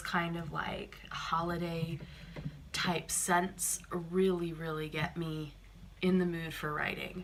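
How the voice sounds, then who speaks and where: A very slow pace over noticeable background noise. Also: woman. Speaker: writer and mom. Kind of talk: casual talk to camera. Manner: hesitant, lots of filler words.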